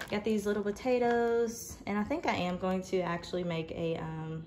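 A woman talks with ordinary pitch variation over light background noise. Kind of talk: casual vlog chat. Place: kitchen. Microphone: phone near.

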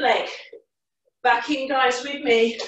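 Over light background noise and audible room echo, a woman speaks at a fairly slow pace with a high pitch. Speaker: fitness instructor. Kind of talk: workout class instruction. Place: home room.

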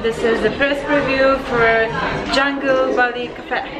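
A woman talks at a fairly slow pace. Loud music plays in the background. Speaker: vlogger. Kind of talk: casual vlog chat. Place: cafe. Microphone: phone near.

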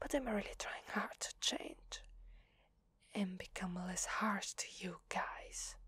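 Whispering at a very slow pace. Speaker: voice actor in roleplay. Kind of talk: ASMR roleplay monologue. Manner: soft, hushed ASMR role-play voice.

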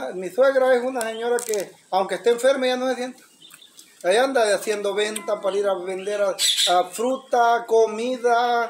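The speech moves at a moderate pace. Light background noise is present. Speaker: guest. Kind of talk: casual conversation. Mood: warm, admiring. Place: home room. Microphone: phone near.

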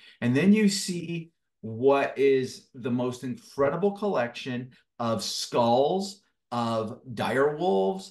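Against a quiet background, a man speaks. His pitch swings very widely. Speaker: guest. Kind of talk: interview answer. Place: home room. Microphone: video call.

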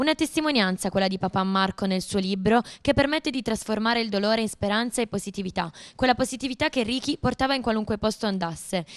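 A woman's fairly high pitch and ordinary pitch variation at a very fast pace, dry and close with no echo, over a quiet background. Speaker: TV reporter. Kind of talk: news report.

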